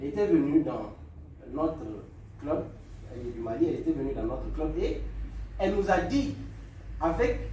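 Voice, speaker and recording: Noticeable background noise and audible room echo surround the speech. A man talks at a moderate pace. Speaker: public speaking club speaker. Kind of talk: lecture. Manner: calm.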